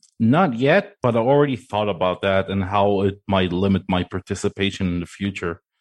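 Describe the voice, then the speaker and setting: In a normal speaking voice, a man talks at a fairly quick pace with hardly any pauses, his fairly low pitch showing ordinary variation. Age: 30s. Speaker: sim racing coach. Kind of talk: casual chat.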